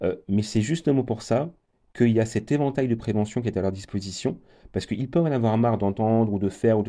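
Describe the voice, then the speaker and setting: A man talks at a very fast pace with a dark, mellow tone. The background is quiet. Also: medium pitch for a man, ordinary pitch variation. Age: 40s. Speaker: HIV prevention program manager. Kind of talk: radio interview.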